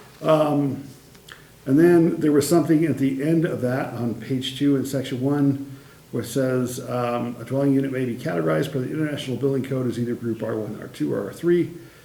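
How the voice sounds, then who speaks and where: Amid noticeable background noise and audible room echo, a man at medium pitch talks fairly quickly with ordinary pitch variation. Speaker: city staff presenting to council. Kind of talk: council meeting presentation. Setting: council meeting. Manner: fast.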